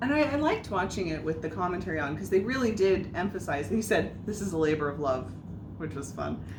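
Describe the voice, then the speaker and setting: A woman talks loud and very fast in a fairly low pitch with very wide pitch swings, amid noticeable background noise and audible room echo. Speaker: podcast co-host. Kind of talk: casual chat.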